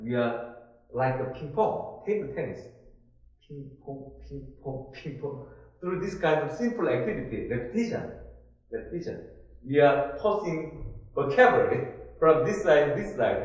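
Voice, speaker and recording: A man with a Korean accent speaks at a fairly high pitch with lively intonation. He takes long, frequent pauses, and room echo is audible. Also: moderate pace, big swings in loudness. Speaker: instructor. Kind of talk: online class discussion. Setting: online conference. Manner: halting.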